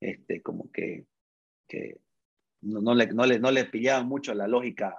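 His pitch sits in the medium range for a man. The intonation stays fairly even throughout. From Bolivia, Santa Cruz. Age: 30s. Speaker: tech startup CEO. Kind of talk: interview. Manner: halting, frequent repetitions.

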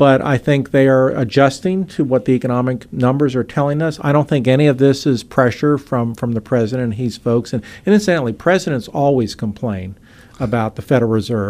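With a normal speaking voice, a man talks at a fairly quick pace in a medium pitch, using ordinary pitch variation. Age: 60s. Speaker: economics professor. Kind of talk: radio interview. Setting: radio studio.

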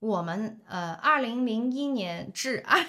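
A woman's fairly high-pitched, animated voice with very wide pitch swings. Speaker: podcast host. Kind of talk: casual chat.

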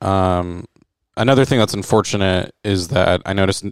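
With an American accent and a plain, everyday voice, a man talks at a moderate pace at a fairly low pitch with ordinary variation, on a very clean recording with a silent background and a dry, close sound with no echo. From Florida. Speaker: comedian. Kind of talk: casual chat.

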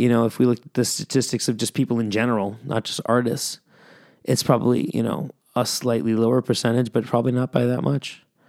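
A man with an unremarkable speaking voice talks at a fairly quick pace and medium pitch. The sound is dry and close with no echo, on a very clean recording with a silent background. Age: 30s. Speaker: music podcast host. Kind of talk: casual solo podcast talk. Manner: casual, rambling with fillers.

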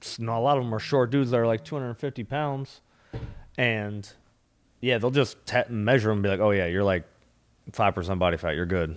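With an American accent, a man talks in a normal speaking voice at a medium pitch and moderate pace. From US Midwest (Minnesota). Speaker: stand-up comedian. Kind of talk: casual chat.

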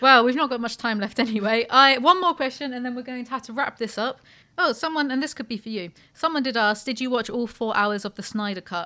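Speaking very fast in a British accent, a woman has a high pitch and an animated tone. Her voice is bright and sharp, with big swings in loudness. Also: ordinary pitch variation. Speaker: podcast host. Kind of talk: casual chat.

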